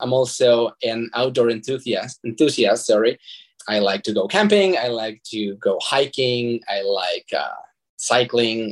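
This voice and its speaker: The speaker is a man with a Spanish accent. He talks at a moderate pace. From Mexico (Zacatecas). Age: 30s. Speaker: nonprofit fundraising manager and artist. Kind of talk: interview. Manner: halting, with repetitions.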